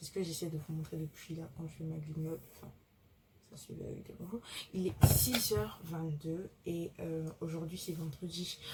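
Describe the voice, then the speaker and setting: Soft-spoken, a woman talks at a moderate pace and fairly low pitch with ordinary pitch variation and big swings in loudness, over noticeable background noise. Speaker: law student vlogger. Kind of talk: vlog. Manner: hesitant, many fillers.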